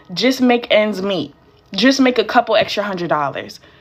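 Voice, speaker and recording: A woman with an American accent talks at a fairly quick pace in a fairly high pitch, with lively intonation. Noticeable background noise is present. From Georgia, US. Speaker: small business trainer. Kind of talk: live stream training. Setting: live stream. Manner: casual, chatty.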